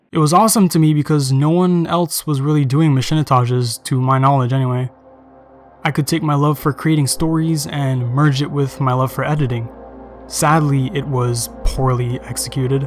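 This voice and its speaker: Music plays behind a man speaking at a fairly high pitch. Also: fairly even intonation, moderate pace. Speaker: video editor, gaming commentator. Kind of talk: gaming commentary over gameplay. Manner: monotone.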